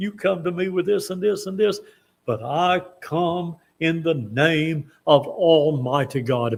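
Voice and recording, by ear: Using a put-on character voice, a man speaks in a squeaky, high pitch at a fairly slow pace with ordinary pitch variation.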